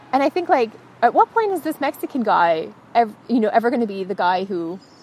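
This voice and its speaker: Her pitch fairly high and swinging very widely, a woman with an American accent talks at a fairly quick pace amid noticeable background noise. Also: long, frequent pauses. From United States. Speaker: freelance writer and translator. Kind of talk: casual chat. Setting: outdoors.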